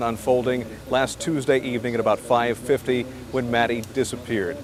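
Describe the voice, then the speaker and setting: Medium-pitched male voice at a fairly quick pace amid noticeable background noise. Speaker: TV news reporter. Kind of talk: live TV news report.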